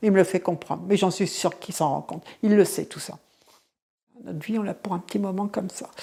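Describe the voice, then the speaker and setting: A woman speaks at a medium pitch in a dark, mellow tone with fairly even intonation. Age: 60s. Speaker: family caregiver, former nursing assistant. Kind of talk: testimony. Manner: halting.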